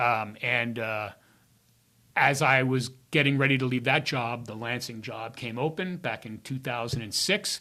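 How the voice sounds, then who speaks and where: In a very clean recording with a silent background, a man with a bright, sharp tone speaks fairly slowly at a medium pitch, with ordinary pitch variation and big swings in loudness. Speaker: retiring public information officer, former radio broadcaster. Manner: halting, many fillers.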